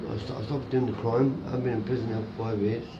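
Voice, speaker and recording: With noticeable background noise and audible room echo, a man of medium pitch speaks in a flat monotone. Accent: Irish. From Ireland. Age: 40s. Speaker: homeless man. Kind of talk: interview. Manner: halting.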